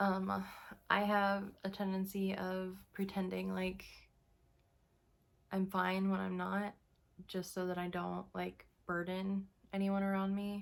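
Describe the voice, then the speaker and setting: At a very slow pace, a woman speaks in a medium-pitched, monotone, flat voice with long, frequent pauses. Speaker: vlogger. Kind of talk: casual monologue. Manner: halting.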